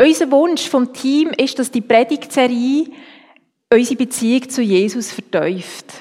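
A woman's high-pitched voice with ordinary pitch variation, at a fairly slow pace. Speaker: preacher. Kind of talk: sermon.

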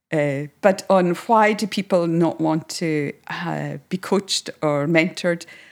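On a very clean recording with a silent background, a woman with a Hebridean accent speaks at a very slow pace with hardly any pauses, her fairly low voice showing ordinary pitch variation. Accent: Hebridean Scottish. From Scotland, Isle of Lewis. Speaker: counsellor. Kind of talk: interview.

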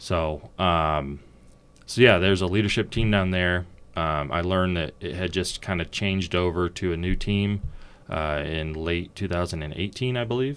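With an American accent, a man talks at a moderate pace in a very deep, low pitch with ordinary pitch variation. The recording is very clean, with a silent background. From Oregon. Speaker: firearms company executive. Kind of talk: casual interview.

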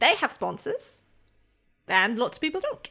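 Very wide pitch swings mark a woman's put-on character voice, fairly high and bright, sharp in tone, with vocal fry at a fairly slow pace. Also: very clean recording, silent background.

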